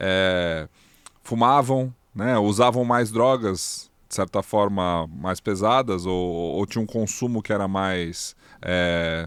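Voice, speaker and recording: Speaking at a very slow pace, a man has a fairly low pitch. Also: ordinary pitch variation. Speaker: podcast co-host. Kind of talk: casual chat.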